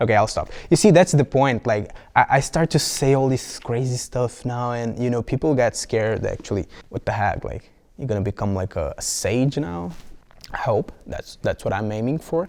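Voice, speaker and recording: Speaking with a Brazilian Portuguese accent, a man uses a medium pitch and lively intonation at a moderate pace. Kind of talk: casual vlog monologue. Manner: halting, many fillers and restarts.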